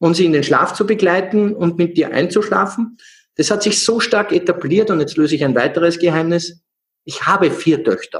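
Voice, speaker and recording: At a moderate pace, a man with a Salzburg accent speaks with a high pitch, ordinary pitch variation and very even loudness. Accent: Austrian (Salzburg). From Austria, Salzburg. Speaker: energy healer and coach. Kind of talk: interview.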